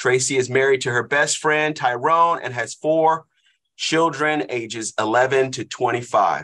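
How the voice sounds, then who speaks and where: The voice has a bright, sharp tone and moves at a very slow pace. Its pitch variation is ordinary. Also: man, medium pitch for a man. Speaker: class host, leads prayer. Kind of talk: prayer and introduction. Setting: online class, video call.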